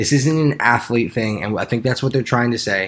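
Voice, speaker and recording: A man speaks at a medium pitch with ordinary pitch variation, in an ordinary speaking voice. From Arizona. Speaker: sports podcast co-host. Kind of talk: casual chat.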